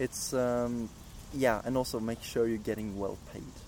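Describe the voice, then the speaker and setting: A man's monotone, flat delivery at a fairly slow pace. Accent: Norwegian. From Norway. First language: Norwegian. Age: 20s. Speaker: animator. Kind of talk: interview. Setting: outdoors.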